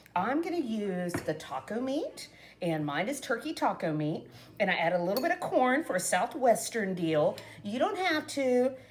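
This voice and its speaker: With noticeable background noise behind her, a woman speaks at a moderate pace in a fairly high pitch, her tone animated and her pitch swinging very widely. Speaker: cooking vlogger. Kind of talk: casual cooking tutorial. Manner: chatty, animated.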